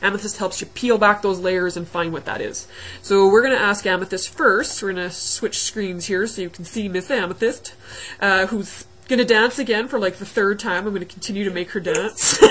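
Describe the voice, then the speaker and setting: Medium-pitched woman's voice at a fairly quick pace, with fairly even intonation and noticeable background noise. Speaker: online fitness coach and interviewer. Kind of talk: video call interview. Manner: fast.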